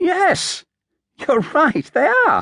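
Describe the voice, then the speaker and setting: Squeaky and put-on, the voice is a character act. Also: man. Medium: read story.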